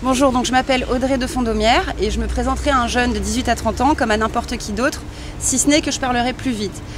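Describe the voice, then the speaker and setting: Noticeable background noise is present. Over it, a woman talks very fast. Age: 30s. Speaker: local election candidate. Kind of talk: interview. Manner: hesitant, many fillers.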